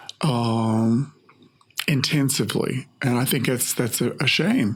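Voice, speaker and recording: A man speaks at a very slow pace with very even loudness, a medium pitch and ordinary pitch variation. Noticeable background noise is present. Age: 70s. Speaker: hair stylist and artist. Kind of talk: casual interview conversation. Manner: halting, with frequent repetitions.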